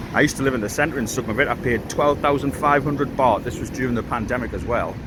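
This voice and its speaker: Over noticeable background noise and audible room echo, a man at a medium pitch speaks at a very fast pace with ordinary pitch variation. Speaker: vlogger. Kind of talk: casual vlog talk to camera. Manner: halting.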